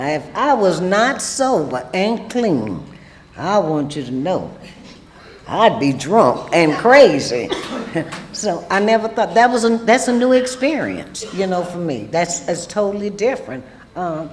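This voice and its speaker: Someone with a Louisiana accent talks at a fairly slow pace against noticeable background noise. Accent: Southern US (Louisiana). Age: old. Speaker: recovering alcoholic panelist. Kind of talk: testimony. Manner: loud; animated.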